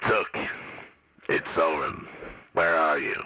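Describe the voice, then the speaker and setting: A man's raspy, put-on character voice. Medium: actual play. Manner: measured, condescending.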